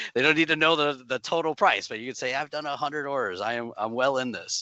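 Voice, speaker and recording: Here a man speaks at a very fast pace. His pitch is fairly high, with ordinary variation. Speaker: small business advisor, webinar presenter. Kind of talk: webinar presentation. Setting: online webinar. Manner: casual, filler-heavy.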